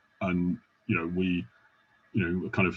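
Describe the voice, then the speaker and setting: A man with a British accent and a very deep, low voice. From UK. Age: 40s. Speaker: podcast host. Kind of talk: casual interview chat.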